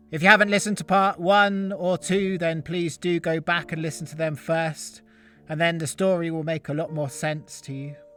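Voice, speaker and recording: A man's high-pitched voice with fairly even intonation, music playing in the background. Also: moderate pace. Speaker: storyteller. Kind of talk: storytelling intro.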